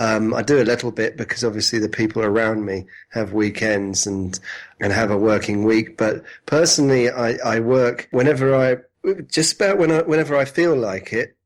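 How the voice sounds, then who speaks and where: The speaker has a British accent. Pitch variation is ordinary. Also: man, medium pitch for a man, moderate pace. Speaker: entrepreneur and web design teacher. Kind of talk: interview. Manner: halting, many restarts.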